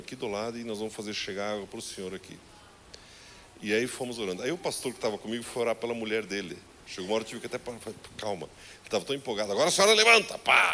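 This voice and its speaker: A man talking very fast in an animated tone. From southern Brazil. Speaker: pastor. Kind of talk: sermon.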